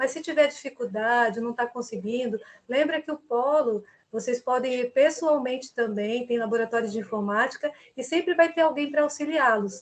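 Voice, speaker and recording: A woman speaks at a high pitch. Her pitch varies an ordinary amount. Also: moderate pace. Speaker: university tutor. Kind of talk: online class orientation.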